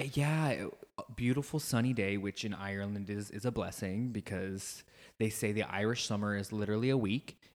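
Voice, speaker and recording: A man with an American accent speaks in a normal speaking voice, his fairly low pitch showing ordinary pitch variation at a fairly quick pace. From rural United States. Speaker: podcast co-host. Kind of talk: casual chat.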